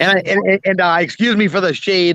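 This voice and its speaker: With a strong Boston accent, a man speaks in a bright, sharp tone. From New England, Boston area. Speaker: retired business owner. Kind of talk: casual panel chat.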